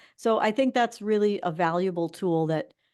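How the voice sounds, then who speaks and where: A woman with an ordinary speaking voice, fairly quick in pace, with ordinary pitch variation against a quiet background. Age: 60s. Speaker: financial advice show host. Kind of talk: casual chat. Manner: conversational, with frequent fillers.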